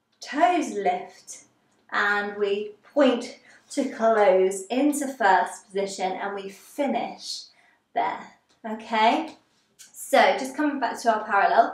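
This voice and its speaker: A woman's lively intonation at a very slow pace, with long, frequent pauses and audible room echo. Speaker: ballet teacher. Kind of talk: tutorial instruction. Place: empty room. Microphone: camera far.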